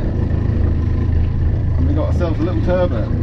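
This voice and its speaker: A man amid loud background noise. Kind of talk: casual vlog chat. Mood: pleased, relaxed. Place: boat.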